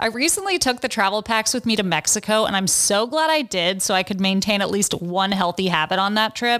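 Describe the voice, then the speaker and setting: With an upbeat, bright and sharp tone, a woman talks at a fairly quick pace, with very even loudness and hardly any pauses. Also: medium pitch for a woman, ordinary pitch variation. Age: 30s. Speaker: podcast host and fashion blogger. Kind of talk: advice segment; casual chat. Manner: conversational, upbeat.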